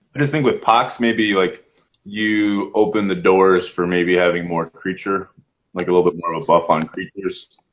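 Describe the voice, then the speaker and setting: Here is a man with an ordinary speaking voice at a fairly low pitch. He talks at a moderate pace with ordinary pitch variation. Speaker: podcast host. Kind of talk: casual chat.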